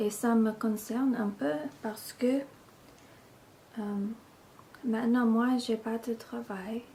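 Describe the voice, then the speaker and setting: Over noticeable background noise, a woman with a fairly high pitch speaks in a monotone, flat way. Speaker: ASMR video creator. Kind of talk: casual ramble to camera.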